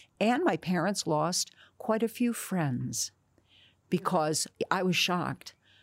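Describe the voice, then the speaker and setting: Speaking with an American accent, a woman uses a fairly low voice with vocal fry and lively intonation at a very slow pace, leaving long, frequent pauses. The sound is dry and close with no echo, and her loudness stays very even. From New Jersey. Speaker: actress. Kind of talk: interview.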